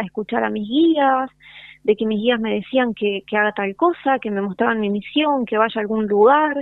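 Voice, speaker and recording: A woman with a Rioplatense accent, lively intonation and a moderate pace. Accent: Argentine Rioplatense Spanish. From Argentina, Concordia, Entre Ríos. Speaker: yoga and spiritual teacher. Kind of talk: casual interview. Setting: phone call.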